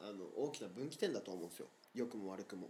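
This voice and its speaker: Very fast speech from a man, fairly low in pitch, dark and mellow in tone, with very wide pitch swings. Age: 20s. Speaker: podcast co-host. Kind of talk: casual chat. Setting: remote recording.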